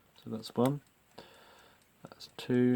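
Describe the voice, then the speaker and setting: Quiet speech at a moderate pace. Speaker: vintage clock restorer. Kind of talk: hands-on repair commentary. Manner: lowered voice, quieter; hesitant, many fillers.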